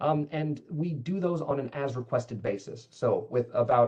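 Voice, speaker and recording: There is a somewhat breathy quality to this man's voice, and his pitch varies in an ordinary way. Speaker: cybersecurity manager. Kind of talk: webinar Q&A. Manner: fast.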